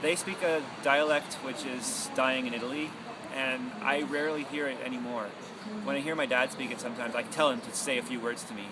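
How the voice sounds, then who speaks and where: Amid noticeable background noise and audible room echo, a man talks at a medium pitch and a fairly quick pace with ordinary pitch variation. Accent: Canadian. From Canada, Toronto. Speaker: radio broadcaster. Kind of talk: personal testimony.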